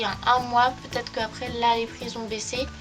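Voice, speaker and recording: A woman's fairly high-pitched voice at a moderate pace, with music in the background. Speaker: beauty vlogger. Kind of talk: product review vlog.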